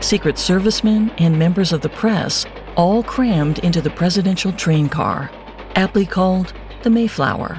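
Music plays in the background behind a dramatic tone. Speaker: podcast host. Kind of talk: history documentary narration. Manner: measured, grave, dramatic storytelling.

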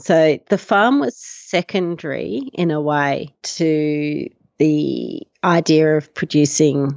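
Speaking with an Australian accent, a woman with a very deep, low pitch uses ordinary pitch variation. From Australia, Melbourne. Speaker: farmer and emergency doctor. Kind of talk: interview.

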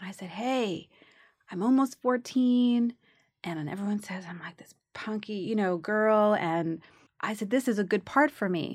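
On a very clean recording with a silent background, a woman with a New York accent sounds animated, her loudness swinging widely while her pitch varies in an ordinary way. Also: fairly high pitch for a woman, moderate pace. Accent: New York (Bronx). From the Bronx, New York. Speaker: actress. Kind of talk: casual interview chat. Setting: studio. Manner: animated, laughs often.

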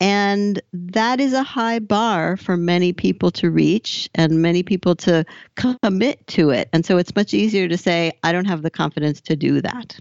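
A woman with an American accent and an ordinary speaking voice talks at a moderate pace and medium pitch. Her pitch varies in an ordinary way, and she leaves hardly any pauses. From US West Coast, Southern California. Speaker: business coach. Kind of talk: interview.

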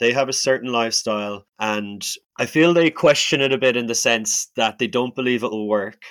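With an Irish accent, a man of medium pitch speaks at a moderate pace on a very clean recording with a silent background. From Ireland. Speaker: hospitality worker and traveler. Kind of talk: interview.

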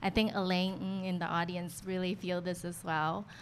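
In a plain, everyday voice, a woman with an American accent speaks at a moderate pace. Her pitch is fairly low. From US. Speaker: designer. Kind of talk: panel discussion. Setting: live audience.

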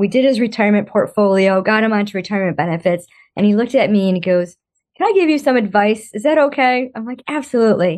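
A woman with an unremarkable speaking voice talks over a quiet background, her medium pitch varying in an ordinary way. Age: 50s. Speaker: financial coach. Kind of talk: interview.

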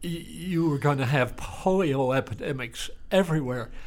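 Speaking at a fairly slow pace, a man with a Texan accent has a fairly high voice. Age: around 80. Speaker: retired country doctor. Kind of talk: interview.

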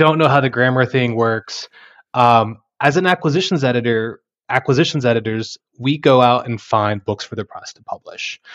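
An American-accented man with an unremarkable speaking voice talks at a moderate pace and medium pitch, with ordinary pitch variation and big swings in loudness. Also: quiet background. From Texas Panhandle. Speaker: university press acquisitions editor. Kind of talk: interview conversation.

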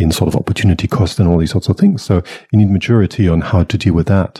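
A man talks very fast in a very deep, low voice. His tone is dark and mellow, and somewhat breathy. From Germany. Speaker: facilitator and consultant. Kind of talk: casual interview. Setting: recording live in person in Melbourne.

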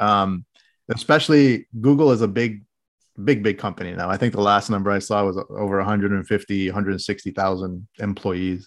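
A man's fairly low voice rises and falls in an ordinary way against a quiet background. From Middle East (Qatar, Oman, Saudi Arabia). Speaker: engineer and biotech company director. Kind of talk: interview.

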